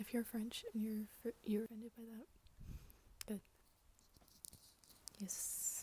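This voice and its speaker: A soft-spoken woman with an American accent talks at a fairly high pitch in a monotone, flat intonation. Her pace is very slow, broken by long, frequent pauses. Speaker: ASMR YouTuber. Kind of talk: ASMR Q&A, casual talk to camera. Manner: soft-spoken, casual, humorous.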